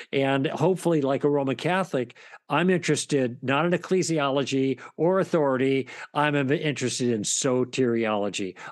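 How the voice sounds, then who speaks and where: A normal speaking voice moves at a fairly quick pace with ordinary pitch variation over a quiet background. Its loudness stays very even. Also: man, fairly high pitch for a man. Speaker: author and former broadcaster. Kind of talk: interview about his book.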